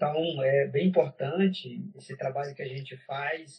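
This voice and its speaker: A man's fairly high, somewhat breathy voice at a fairly slow pace, with fairly even intonation. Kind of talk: interview conversation.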